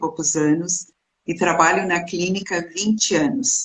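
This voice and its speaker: A woman's ordinary speaking voice, fairly low in pitch, at a fairly slow pace with ordinary pitch variation. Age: 60s. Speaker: clinical psychologist. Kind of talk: interview.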